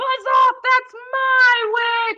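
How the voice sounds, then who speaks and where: Using a put-on character voice, a woman sounds shrill, squeaky, croaky and growling at an extremely high pitch, with monotone, flat intonation. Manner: gruff, defiant.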